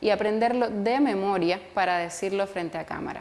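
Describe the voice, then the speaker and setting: A woman's fairly high voice at a moderate pace, with ordinary pitch variation over noticeable background noise. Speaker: journalist and photographer. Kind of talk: online course lecture to camera.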